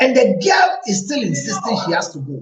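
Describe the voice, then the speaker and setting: A man's animated tone at a fairly slow pace. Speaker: relationship counselor. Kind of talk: advice talk.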